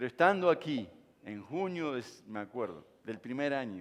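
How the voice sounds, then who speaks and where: A man is talking. He speaks at a moderate pace. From Uruguay. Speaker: pastor. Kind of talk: sermon.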